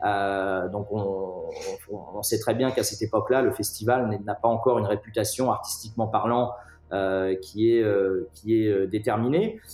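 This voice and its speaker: Speech comes at a fairly slow pace with fairly even intonation over noticeable background noise. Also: man, fairly low pitch for a man. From France, Nantes. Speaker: music festival founder and director. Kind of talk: interview. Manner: halting, many repetitions.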